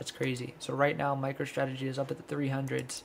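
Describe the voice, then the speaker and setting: The speaker is soft-spoken, with a monotone, flat intonation. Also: man. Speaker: stock trading streamer. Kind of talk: live stream market breakdown. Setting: livestream. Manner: low energy.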